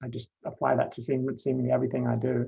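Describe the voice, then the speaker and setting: This man speaks with a London accent. His pitch is medium. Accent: English (London), noticeable in Canada. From London, England. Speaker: panelist sharing coming-out story. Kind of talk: personal testimony. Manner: halting, many fillers and repetitions.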